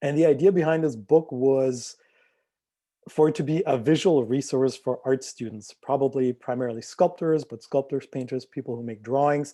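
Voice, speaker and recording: Big swings in loudness mark this man's dark, mellow, fairly high voice, which has ordinary pitch variation. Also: moderate pace, quiet background. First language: not English. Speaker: visual artist. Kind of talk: artist talk presentation. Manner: hesitant with fillers.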